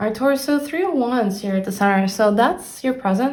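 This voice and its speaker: A woman with a non-native accent, fairly high-pitched and somewhat breathy, with lively intonation and audible room echo. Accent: non-native English speaker. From Brazil. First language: Portuguese. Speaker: tarot reader. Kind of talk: tarot reading. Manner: casual, thinking aloud with hesitations.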